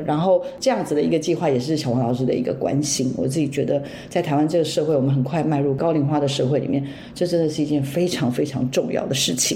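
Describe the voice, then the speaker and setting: Amid noticeable background noise and audible room echo, a woman with a very deep, low pitch speaks at a very fast pace with ordinary pitch variation. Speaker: radio host. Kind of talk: casual chat.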